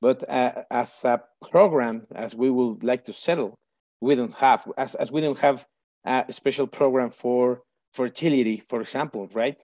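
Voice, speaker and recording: A man with a Mexican accent speaks at a moderate pace and medium pitch. His tone is dark and mellow, over a quiet background. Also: ordinary pitch variation. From Mexico City, Mexico. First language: Spanish. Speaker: pediatric colorectal surgeon. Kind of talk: interview, conversational. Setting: remote call. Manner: slightly hesitant, with fillers.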